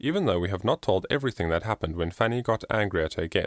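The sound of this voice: With lively intonation, the voice reads in an unforced way.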